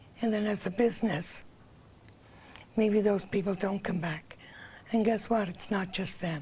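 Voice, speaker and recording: A woman speaks in a dark, mellow tone, somewhat breathy, at a moderate pace. Long, frequent pauses break up her speech. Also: medium pitch for a woman, fairly even intonation. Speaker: accessibility committee member. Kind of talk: TV interview.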